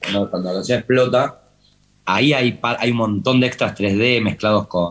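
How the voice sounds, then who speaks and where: Ordinary pitch variation in a Rioplatense accent. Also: man, medium pitch for a man, moderate pace. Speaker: TV series director. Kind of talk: interview talk. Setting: talk with student audience. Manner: halting, many repetitions.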